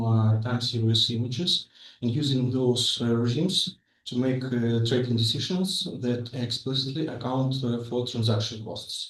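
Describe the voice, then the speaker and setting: Somewhat breathy, a man speaks at a moderate pace and medium pitch. His intonation stays fairly even. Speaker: master's student presenter. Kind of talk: academic presentation. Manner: halting, many fillers.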